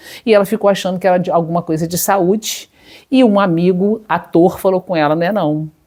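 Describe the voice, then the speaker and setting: A woman's fairly low-pitched, unremarkable speaking voice, at a moderate pace with ordinary pitch variation. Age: 60s. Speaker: psychologist. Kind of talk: personal testimony to camera. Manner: conversational, with fillers.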